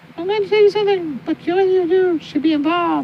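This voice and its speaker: A squeaky, female-sounding put-on character voice races along at a very fast pace and an extremely high pitch. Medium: solo performance. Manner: mysterious, intense.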